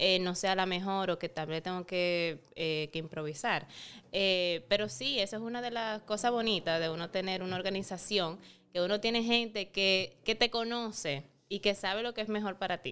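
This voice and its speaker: A woman speaks at medium pitch with ordinary pitch variation and a moderate pace, in an ordinary speaking voice. The recording is very clean, with a silent background. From Dominican Republic (San Francisco de Macorís). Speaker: beauty pageant titleholder and model. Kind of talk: casual interview chat.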